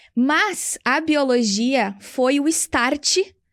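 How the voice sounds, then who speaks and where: A woman speaks in a high voice. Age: 30s. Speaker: English teacher and entrepreneur. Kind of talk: interview.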